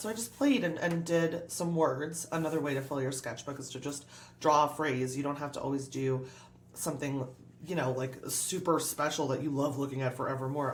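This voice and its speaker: Against noticeable background noise and audible room echo, a woman with a very deep, low pitch speaks in an animated tone at a fairly quick pace, with ordinary pitch variation. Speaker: art YouTuber. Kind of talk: tutorial. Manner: fast.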